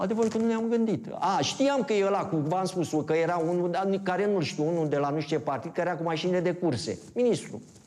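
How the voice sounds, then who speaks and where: Against noticeable background noise, a man speaks at a very fast pace with hardly any pauses. His pitch is high, his intonation lively and his loudness very even. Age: 60s. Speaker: villager interviewed. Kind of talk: interview. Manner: casual, halting.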